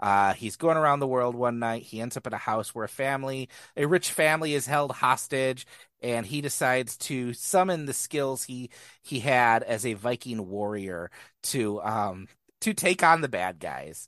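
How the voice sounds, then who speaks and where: Against a quiet background, a man with a normal speaking voice talks at a moderate pace and medium pitch, with lively intonation. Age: 40s. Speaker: movie podcast co-host. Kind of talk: casual chat.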